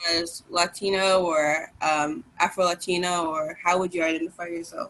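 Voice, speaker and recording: A woman's medium-pitched voice with an American accent, over noticeable background noise. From New York City, Brooklyn. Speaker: interviewer. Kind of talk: interview.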